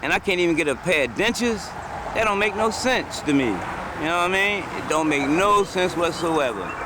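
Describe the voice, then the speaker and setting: Over noticeable background noise, a man talks at a high pitch with lively intonation. His pace is fairly quick. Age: 60s. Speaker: panhandling war veteran. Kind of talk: street interview. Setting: outdoors on a road median.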